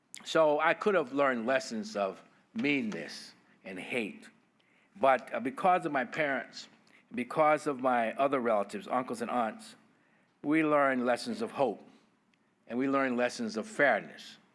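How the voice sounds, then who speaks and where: In a very clean recording with a silent background, a man with an American accent talks at a moderate pace, his pitch swinging very widely between long, frequent pauses. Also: fairly high pitch for a man. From US South, Bessemer, Alabama. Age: 70s. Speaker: federal judge. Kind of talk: keynote speech.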